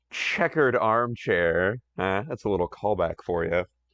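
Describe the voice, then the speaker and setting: A man's fairly low voice at a fairly slow pace, with ordinary pitch variation and a dry, close sound free of echo. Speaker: reads and voice-acts comics aloud. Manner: self-deprecating, chatty.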